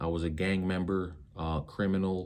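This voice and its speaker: A man with an American accent speaks in a very deep, low voice, monotone and flat. He goes at a fairly slow pace, with audible room echo around him. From Minneapolis, Minnesota (Ojibwe). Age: 30s. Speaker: youth advocate and pastor. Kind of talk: personal testimony.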